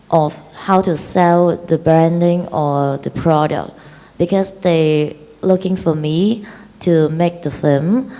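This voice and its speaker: In a Chinese accent, a woman talks very slowly in a fairly low pitch. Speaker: film director. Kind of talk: interview. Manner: halting.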